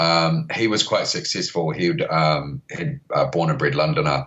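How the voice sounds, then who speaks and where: With a New Zealand accent, a man speaks in very wide pitch swings. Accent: Kiwi. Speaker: record label founder. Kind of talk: podcast interview. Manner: hesitant, many fillers.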